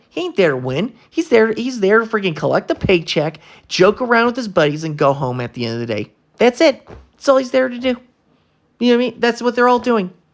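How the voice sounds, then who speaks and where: A man talks at a fairly quick pace in an animated tone. His pitch swings very widely. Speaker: sports commentary youtuber. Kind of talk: casual rant to camera. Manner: stuttering, halting when angry.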